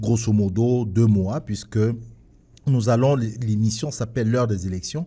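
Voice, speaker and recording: A man speaks with a dark, mellow tone that is somewhat breathy. His pitch varies in an ordinary way. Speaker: radio host. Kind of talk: radio show opening monologue. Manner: halting.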